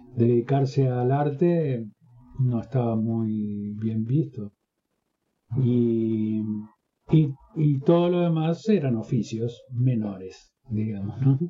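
Over music in the background, a man talks very slowly with long, frequent pauses and ordinary pitch variation. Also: medium pitch for a man. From northern Uruguay. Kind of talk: interview.

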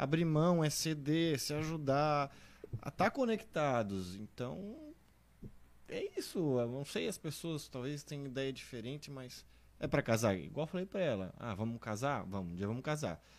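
Very wide pitch swings at a moderate pace. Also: man, fairly high pitch for a man. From southern Brazil, Santa Catarina (Blumenau). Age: 30s. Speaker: guest, husband of the testimony giver. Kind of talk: testimony.

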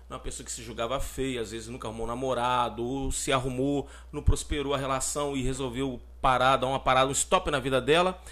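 A man with a Brazilian accent talks at a fairly quick pace with big swings in loudness. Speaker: podcast co-host. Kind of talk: casual chat.

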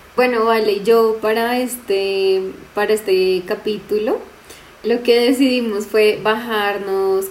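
With noticeable background noise, a woman speaks at a fairly high pitch with fairly even intonation. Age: 20s. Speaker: teacher and podcast co-host. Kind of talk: casual chat.

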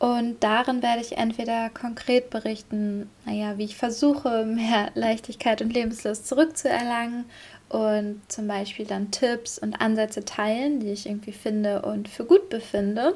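A somewhat breathy voice at a fairly slow pace, with fairly even intonation and a very clean recording over a silent background. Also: woman, fairly high pitch for a woman. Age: 20s. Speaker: podcast host, marketing worker. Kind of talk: casual solo monologue.

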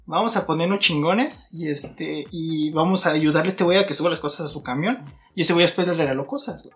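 With noticeable background noise behind him, a man speaks at a very fast pace and high pitch, with ordinary pitch variation and big swings in loudness. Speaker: podcast co-host. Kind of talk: casual chat. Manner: animated.

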